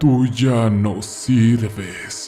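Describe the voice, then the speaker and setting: Here a man does a put-on character voice at a medium pitch. Clear music sits in the background. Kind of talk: horror narration. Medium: read story. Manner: grave, clipped short sentences.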